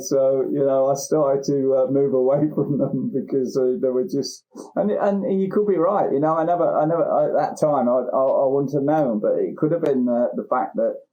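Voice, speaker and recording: A man speaks with a Lincolnshire accent. His loudness stays very even throughout. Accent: local Lincolnshire. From England, Lincolnshire (Newark). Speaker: therapist and recovered addict. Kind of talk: interview. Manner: halting, many repetitions and fillers.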